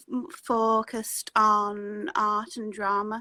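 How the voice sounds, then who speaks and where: A woman speaks with a northern English accent at a fairly high pitch. Her tone is bright and sharp. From northern England. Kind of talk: interview. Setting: video call. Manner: halting; stutter.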